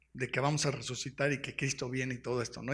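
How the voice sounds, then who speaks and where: Somewhat breathy speech at a fairly quick pace, on a very clean recording with a silent background. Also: man. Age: 60s. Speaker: pastor. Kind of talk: sermon. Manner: animated.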